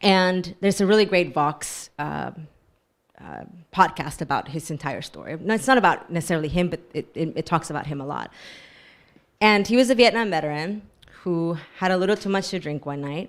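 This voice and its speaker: Talking at a fairly quick pace with an American accent, a woman shows ordinary pitch variation and big swings in loudness. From Texas. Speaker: author. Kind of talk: book talk discussion. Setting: bookstore event with audience.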